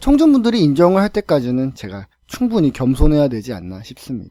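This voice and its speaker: A dark, mellow voice moves at a fairly quick pace with very wide pitch swings, recorded dry and close with no echo on a very clean track with a silent background. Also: man. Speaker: lecturer and podcast storyteller. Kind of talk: podcast monologue.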